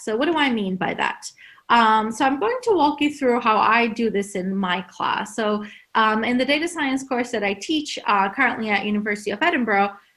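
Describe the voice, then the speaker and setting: A woman with a Turkish accent talks at a moderate pace, with fairly high pitch and lively intonation. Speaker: university lecturer. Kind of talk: conference talk.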